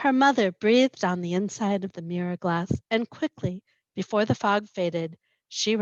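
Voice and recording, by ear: In a quiet setting, a natural voice reads aloud.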